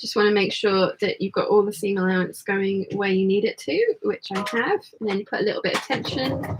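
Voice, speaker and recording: The speaker has an English accent and hardly any pauses. Noticeable background noise runs underneath. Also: woman. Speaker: sewing livestream host. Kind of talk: casual chat with sewing tutorial.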